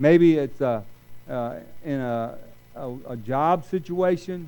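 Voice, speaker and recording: The man has a fairly high voice with a dark, mellow tone. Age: 60s. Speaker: retired college minister, guest preacher. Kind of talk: sermon. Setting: church service with congregation. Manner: hesitant, with many fillers and repeated words.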